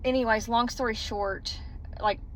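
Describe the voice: A woman's fairly high voice at a fairly slow pace, with fairly even intonation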